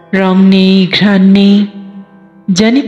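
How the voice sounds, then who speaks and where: A woman's sad-toned, medium-pitched voice over music in the background. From Bangladesh. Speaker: poet. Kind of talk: poetry reading. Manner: emotional, sad.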